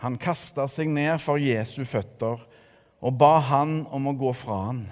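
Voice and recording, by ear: A passage is read aloud in a natural voice.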